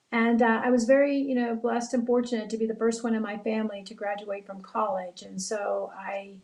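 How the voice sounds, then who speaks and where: Over audible room echo, a woman with an American accent and a fairly high pitch talks at a fairly quick pace with hardly any pauses, fairly even intonation and big swings in loudness. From South Texas, Brownsville. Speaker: bank executive, board chair. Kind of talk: panel remarks. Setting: virtual town hall.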